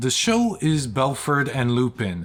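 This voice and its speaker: The voice moves through very wide pitch swings while music plays in the background. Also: man. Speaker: film reviewer YouTuber. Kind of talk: casual vlog review. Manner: halting with fillers.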